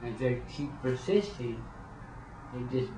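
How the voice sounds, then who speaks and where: A man at medium pitch and very slow pace, with audible room echo and noticeable background noise. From New Mexico. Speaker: former prison inmate. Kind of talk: personal testimony interview. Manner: halting, repeats words.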